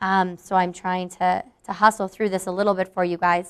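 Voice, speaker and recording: This woman talks at a fairly quick pace. Her pitch is medium. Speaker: marketing manager. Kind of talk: live product demo to staff. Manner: fast.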